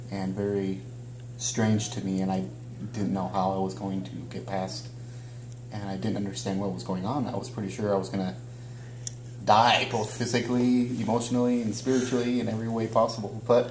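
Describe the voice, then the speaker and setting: A man with a fairly low voice talks at a fairly quick pace. Light background noise and audible room echo are present. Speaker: interview guest. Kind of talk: interview answer. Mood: reflective. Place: home room.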